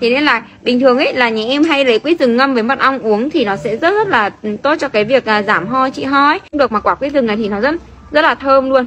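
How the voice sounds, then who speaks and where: The voice moves at a very fast pace with lively intonation over light background noise. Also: woman, high pitch for a woman. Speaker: rural food vlogger. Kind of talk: casual vlog chat with product promotion.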